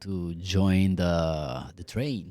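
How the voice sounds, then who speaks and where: A man speaks in an Italian accent with a dark, mellow tone. The recording is very clean, with a silent background. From Italy. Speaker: scalp micropigmentation artist. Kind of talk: podcast interview. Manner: animated.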